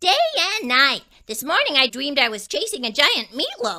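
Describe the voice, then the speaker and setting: A put-on character voice, female-sounding and high-pitched for a woman, at a moderate pace. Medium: read story. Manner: chatty, cheeky.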